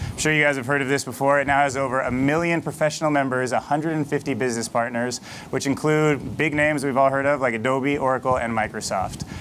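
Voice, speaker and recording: Against light background noise, a man talks with fairly even intonation and hardly any pauses. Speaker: talk show host. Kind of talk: show host introduction. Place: stage. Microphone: lapel.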